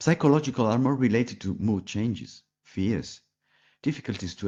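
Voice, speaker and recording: Against a quiet background, a man talks at a fairly quick pace with a dark, mellow tone and vocal fry. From Italy. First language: Italian. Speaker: palliative care physician. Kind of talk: pre-recorded presentation. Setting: pre-recorded video.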